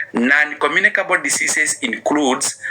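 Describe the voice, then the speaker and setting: With noticeable background noise, a man talks at a fairly slow pace. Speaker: public speaker. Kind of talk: motivational talk.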